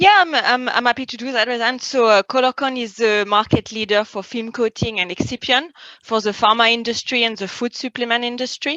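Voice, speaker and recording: With a French accent, the speaker goes at a fairly quick pace with hardly any pauses and ordinary pitch variation, in a dry, close sound with no echo. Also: woman, fairly high pitch for a woman. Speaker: industry expert, chemist. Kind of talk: interview. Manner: hesitant, many fillers.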